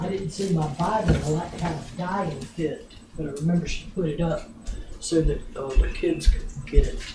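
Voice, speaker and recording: A woman at a moderate pace, with big swings in loudness and music in the background. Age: old. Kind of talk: storytelling to family.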